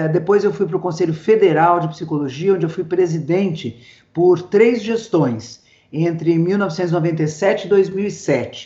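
A woman with a normal speaking voice talks fairly slowly, her pitch fairly low and ordinary in its variation. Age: 60s. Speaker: social psychology professor. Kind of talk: casual interview. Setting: video call.

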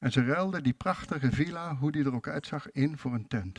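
A man's fairly high-pitched, ordinary speaking voice with lively intonation at a moderate pace. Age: 60s. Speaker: preacher. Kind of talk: sermon.

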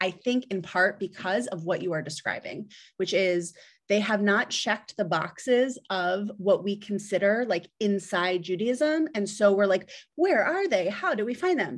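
In an American accent, a woman talks at a fairly slow pace in a normal speaking voice with ordinary pitch variation. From South Jersey, US. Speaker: nonprofit CEO. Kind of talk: interview conversation. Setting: remote call.

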